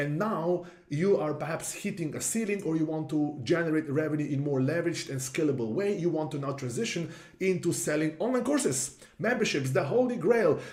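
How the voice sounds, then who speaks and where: With a European accent, a man talks at a fairly quick pace and a fairly high pitch. His intonation is lively, and room echo is audible. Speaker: marketing consultant. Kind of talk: tutorial. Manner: casual, with fillers.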